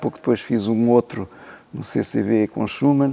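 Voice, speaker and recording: A man's voice, dry and close with no echo, over noticeable background noise. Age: 70s. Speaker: concert pianist and former teacher. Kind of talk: interview. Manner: hesitant, many fillers.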